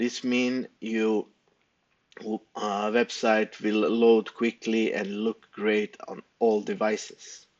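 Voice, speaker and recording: A man with a non-native accent, medium pitch, monotone and flat intonation, very slow pace. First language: not English. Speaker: web developer. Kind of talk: tutorial. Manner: halting, many fillers.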